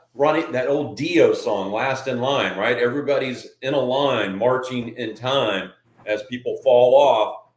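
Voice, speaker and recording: A man at a medium pitch and a fairly slow pace, with audible room echo. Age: 60s. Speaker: podcast host. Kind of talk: casual chat.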